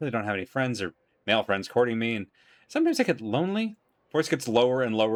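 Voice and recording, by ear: The speaker reads aloud naturally, and the background is quiet.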